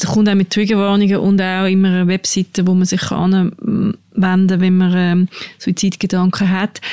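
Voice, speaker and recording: Her loudness stays very even as the woman speaks at a medium pitch and moderate pace. The intonation is monotone and flat. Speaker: podcast host, journalist. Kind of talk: casual chat. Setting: studio.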